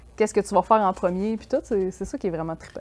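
Her pitch sits in the medium range and varies in an ordinary way. A woman is speaking, and the background is quiet. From Quebec. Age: 30s. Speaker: freelance graphic artist; guest. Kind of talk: casual chat. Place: studio.

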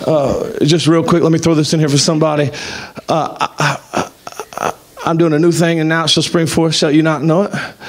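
An animated tone comes through in a Southern US accent. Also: man, fairly high pitch for a man, moderate pace, very even loudness. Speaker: pastor. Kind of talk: sermon. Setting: church. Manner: animated, exhortative. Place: church. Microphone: handheld.

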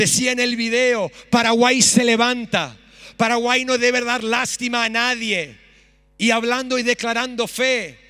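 The voice is raised and projected, with a bright, sharp tone and a fairly slow pace. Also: man. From Australia (Sydney); Australia. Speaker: pastor. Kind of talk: sermon. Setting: church stage with audience. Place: church. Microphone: handheld.

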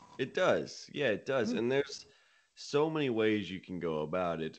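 Against a quiet background, a man is speaking. His pace is moderate. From Nashville, Tennessee, US South; Tennessee. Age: 20s. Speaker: country singer-songwriter; guest. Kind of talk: interview. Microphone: studio mic.

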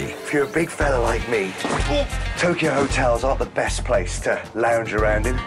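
Clear music plays in the background. Over it, a man speaks at a moderate pace. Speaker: voice actor. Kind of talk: casual talk to camera. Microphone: studio mic.

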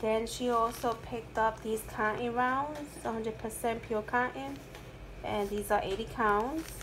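Fairly slow, fairly even intonation over clear background noise. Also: woman, fairly high pitch for a woman.

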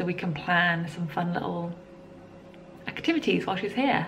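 A woman with an English accent and a fairly low pitch at a moderate pace, over light background noise. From England. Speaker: vlogger. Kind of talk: casual vlog monologue. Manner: chatty, casual. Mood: relaxed, cheerful. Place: home room. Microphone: phone near.

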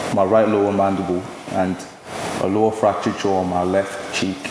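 Amid noticeable background noise and audible room echo, a man speaks at a moderate pace with fairly low pitch and monotone, flat intonation. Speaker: law student. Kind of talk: testimony. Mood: earnest, reflective about violence. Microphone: podium.

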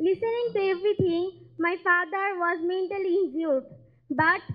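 Against a quiet background, a woman speaks at an extremely high pitch with fairly even intonation. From Bangladesh. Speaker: patient. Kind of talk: speech. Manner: halting. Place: hall.

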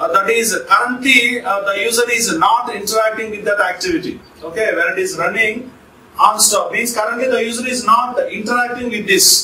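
In a raised, projected voice, a man speaks at a moderate pace with ordinary pitch variation, audible room echo and light background noise. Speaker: teacher. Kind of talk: lecture. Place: classroom.

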